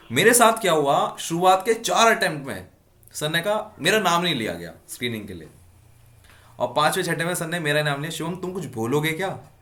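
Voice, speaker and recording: A man's high-pitched voice at a moderate pace, lively in intonation, with big swings in loudness and audible room echo. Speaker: defence exam coach and YouTuber. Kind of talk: casual interview.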